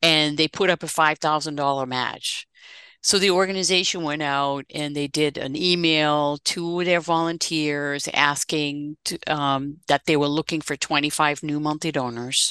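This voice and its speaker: A woman's very deep, low voice with a bright, sharp tone, fairly slow and fairly even in intonation, in a dry, close sound with no echo over a quiet background. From Netherlands (south, near German and Belgian borders). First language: Dutch. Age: 60s. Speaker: fundraising consultant and author. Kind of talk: interview.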